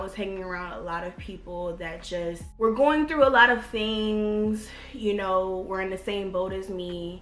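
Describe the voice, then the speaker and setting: A woman with an American accent and a normal speaking voice talks at a medium pitch and a fairly slow pace. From Virginia, USA. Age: 20s. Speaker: beauty YouTuber. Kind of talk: casual talk to camera.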